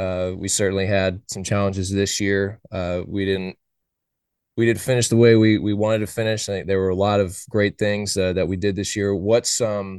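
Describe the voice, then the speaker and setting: With an American accent, a man talks at a moderate pace in a fairly low pitch, his intonation monotone and flat against a quiet background. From Oakland, California. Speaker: college baseball podcast host. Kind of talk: casual chat.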